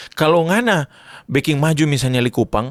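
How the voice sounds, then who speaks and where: With a Manado accent, the speaker talks at a fairly quick pace in an animated tone and ordinary pitch variation, on a very clean recording with a silent background and a dry, close sound with no echo. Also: man. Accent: Manado Malay. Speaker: church youth activist. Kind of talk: podcast interview.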